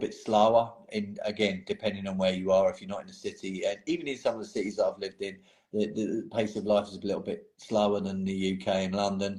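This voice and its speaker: Speaking fairly quickly with an English accent, a man keeps a fairly low pitch and fairly even intonation. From England. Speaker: painting hobbyist. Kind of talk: casual chat.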